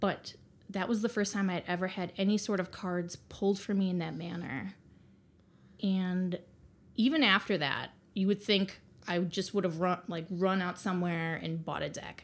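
A woman with an Upper Midwest accent, medium in pitch, at a moderate pace with fairly even intonation. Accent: Upper Midwest American. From Wisconsin, Green Bay. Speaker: tarot reader. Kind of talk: casual interview chat. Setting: in person at host's home.

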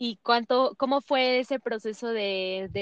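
An ordinary speaking voice moves at a fairly slow pace. The pitch varies in an ordinary way. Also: woman. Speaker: podcast host. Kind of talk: interview.

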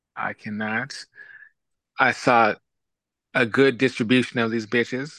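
Long, frequent pauses in a dry, close sound with no echo and a bright, sharp tone. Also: man, medium pitch for a man. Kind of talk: casual chat. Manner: animated.

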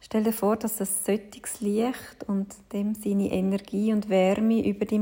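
At a fairly slow pace and with hardly any pauses, the gentle-toned speech comes through noticeable background noise. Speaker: yoga teacher. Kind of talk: guided meditation. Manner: slow, soft, calming; gentle, measured, with long pauses.

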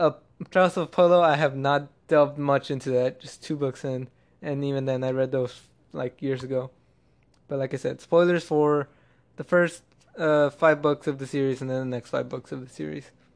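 Loudness swings widely at a moderate pace. The intonation stays fairly even. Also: man, fairly high pitch for a man. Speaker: podcast host. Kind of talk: casual solo monologue. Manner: monotone; halting, many restarts.

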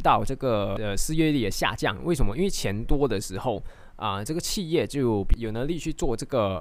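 At a medium pitch, a man's voice swings very widely up and down. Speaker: stock market podcast host. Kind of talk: casual explainer monologue. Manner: many fillers and hesitations.

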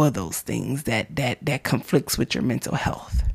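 A woman with vocal fry and an animated tone speaks in a very clean recording with a silent background. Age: 30s. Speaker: faith podcast host. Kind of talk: casual monologue.

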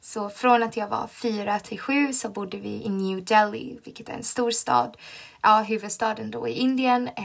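A woman with fairly high pitch, fairly even intonation, and a moderate pace, over noticeable background noise. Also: big swings in loudness. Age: 20s. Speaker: podcast host, teacher student. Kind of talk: casual monologue.

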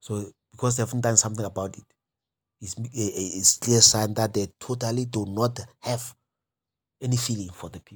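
In a very clean recording with a silent background, a man speaks at a moderate pace and medium pitch, somewhat breathy, with fairly even intonation and big swings in loudness. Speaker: development economist. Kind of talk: lecture. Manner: halting.

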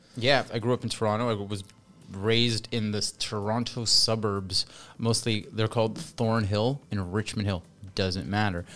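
An unremarkable speaking voice with a Canadian accent at a moderate pace, on a very clean recording with a silent background. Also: man, fairly low pitch for a man, fairly even intonation. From Canada. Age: 40s. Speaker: English teacher. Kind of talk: casual chat. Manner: loud.

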